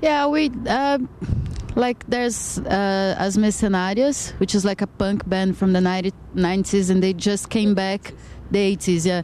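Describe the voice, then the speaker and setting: With a Brazilian accent, a woman speaks fairly slowly in a dark, mellow tone at medium pitch, with ordinary pitch variation and very even loudness. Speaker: band member, musician. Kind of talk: casual interview chat.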